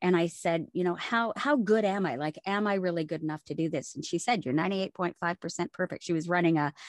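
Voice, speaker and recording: With a Canadian accent, a woman talks at a very fast pace with hardly any pauses, her fairly low pitch showing ordinary variation, recorded dry and close with no echo over a quiet background. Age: 50s. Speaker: voice actor. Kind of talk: interview.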